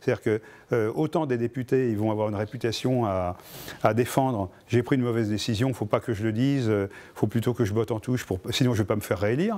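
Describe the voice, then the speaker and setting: Fairly quick in pace, a man speaks at a medium pitch with a dark, mellow tone. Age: 60s. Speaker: activist and electronics engineer. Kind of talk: interview. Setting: filmed interview. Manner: halting, many hesitations.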